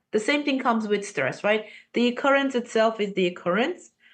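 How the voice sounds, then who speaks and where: A woman talks with lively intonation, the background quiet. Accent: non-native. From Armenia. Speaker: podcast guest. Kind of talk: casual interview conversation. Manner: animated.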